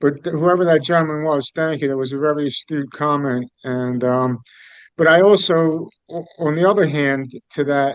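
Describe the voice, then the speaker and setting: A man speaks in an unremarkable speaking voice, his fairly high pitch carried on fairly even intonation. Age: 60s. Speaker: group participant. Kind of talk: group discussion.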